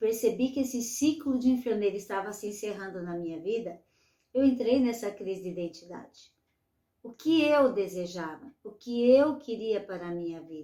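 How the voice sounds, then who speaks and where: A woman's plain, everyday voice with lively intonation. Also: big swings in loudness. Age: 60s. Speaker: retired nurse, aging coach. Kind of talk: online masterclass lecture.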